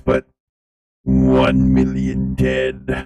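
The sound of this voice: A man's put-on character voice, very deep and low, with monotone, flat intonation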